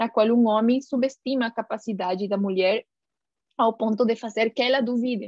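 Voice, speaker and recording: A woman with a Spanish accent at a moderate pace, with fairly even intonation and very even loudness. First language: Spanish (speaking Portuguese). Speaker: scientist and guest lecturer. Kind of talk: lecture. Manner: halting, many filler sounds.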